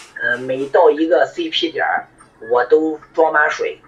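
Moderately paced speech from a man, noticeable background noise behind it. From northern China. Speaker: amateur ultrarunner, army veteran. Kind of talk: voice message testimony.

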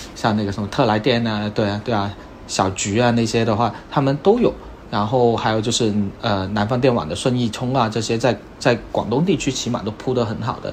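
A man with an unremarkable speaking voice talks at a medium pitch. His pace is fairly quick and his intonation fairly even. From Guangdong, China. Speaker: car owner, software product manager. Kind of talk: casual chat.

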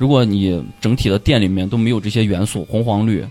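Over music in the background, a man speaks at a fairly quick pace with a fairly low pitch. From Pucheng, Shaanxi (rural). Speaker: dreadlock stylist and stand-up comedian. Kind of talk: casual chat.

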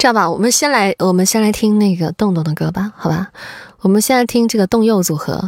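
A woman's playful, animated voice at a fairly quick pace, with ordinary pitch variation and noticeable background noise. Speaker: livestream host. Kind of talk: radio dj patter. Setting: live stream with viewers. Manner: playful, teasing, animated.

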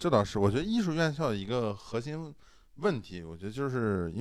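Very fast speech with very wide pitch swings. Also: man. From Shandong, China. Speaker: podcast host. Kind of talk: casual chat.

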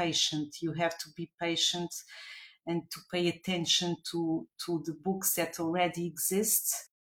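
A woman with a Portuguese accent talks at a moderate pace in a fairly low voice with monotone, flat intonation. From Portugal, Lisbon. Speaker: children's book author. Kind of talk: interview. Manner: halting.

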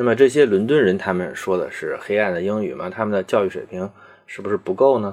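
A man with a fairly low pitch talks at a very fast pace, with big swings in loudness and ordinary pitch variation. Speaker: podcast host. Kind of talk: solo educational monologue.

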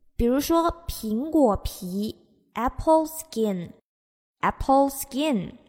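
With lively intonation, a woman speaks at a high pitch and a very slow pace. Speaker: English teacher. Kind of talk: language lesson. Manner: repetitive, slow drilling of phrases.

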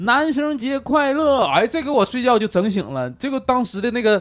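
On a very clean recording with a silent background, a man with an extremely high pitch speaks at a moderate pace with lively intonation. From Northeast China. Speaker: comedian. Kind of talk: casual chat.

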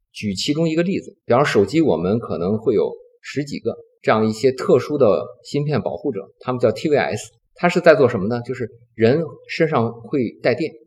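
A man with a medium-pitched, somewhat breathy voice swings his pitch very widely. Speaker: semiconductor company executive. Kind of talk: interview. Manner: calm, gentle.

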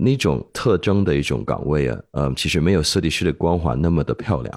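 In a very clean recording with a silent background, a man speaks at a moderate pace with a very deep, low pitch and vocal fry. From Hong Kong. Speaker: podcast co-host. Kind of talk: casual interview chat.

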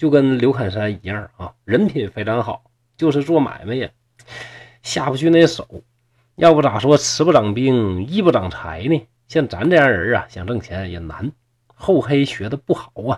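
Pausing long and often, a man talks at a fairly slow pace while his pitch swings very widely. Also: big swings in loudness. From Shenyang, Liaoning, northeast China. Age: 40s. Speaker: storyteller podcaster. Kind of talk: storytelling narration. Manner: animated.

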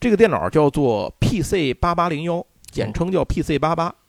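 A man with a high pitch talks at a fairly slow pace in a dry, close sound with no echo. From Tianjin, China. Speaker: podcast host. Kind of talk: casual chat.

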